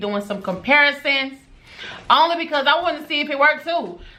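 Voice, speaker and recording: A woman projects her voice loudly, with a bright, sharp tone. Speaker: beauty and lifestyle vlogger. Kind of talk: vlog unboxing with mic test.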